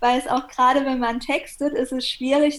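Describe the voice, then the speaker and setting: A woman with a high pitch speaks with fairly even intonation. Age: 30s. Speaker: copywriter and PR consultant. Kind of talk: interview.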